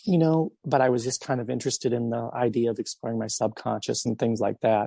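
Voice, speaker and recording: The sound is dry and close with no echo as a man speaks in a dark, mellow tone. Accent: Midwestern American. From US Midwest, Belleville, Illinois. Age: 40s. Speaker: musician. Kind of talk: interview. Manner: hesitant, many fillers.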